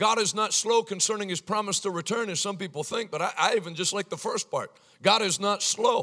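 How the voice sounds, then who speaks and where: Raising and projecting his voice, a man speaks at a fairly quick pace with a high pitch and a bright, sharp tone. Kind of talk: sermon, revival-style preaching. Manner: animated, humorous, peppering in sarcasm and anecdotes.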